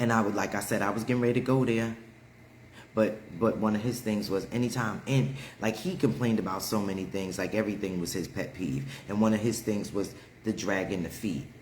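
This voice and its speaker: A man talks at a fairly quick pace in a fairly low, animated voice. Audible room echo surrounds his speech. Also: ordinary pitch variation. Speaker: livestream host. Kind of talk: casual chat. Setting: livestream.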